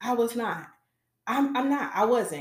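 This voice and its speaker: In an animated tone, a woman with a high pitch speaks at a moderate pace amid audible room echo. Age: 30s. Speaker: podcast host. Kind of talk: personal monologue. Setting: live YouTube recording.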